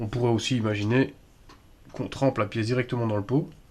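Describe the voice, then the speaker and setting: Somewhat breathy and medium in pitch, a man speaks at a moderate pace with ordinary pitch variation. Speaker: airsoft replica customizer. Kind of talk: improvised tutorial talk to camera.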